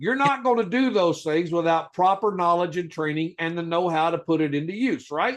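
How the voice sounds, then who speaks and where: Against a quiet background, a man with a high pitch and ordinary pitch variation talks at a fairly quick pace, hardly pausing. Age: 60s. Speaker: legal rights educator. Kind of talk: heated debate. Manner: forceful.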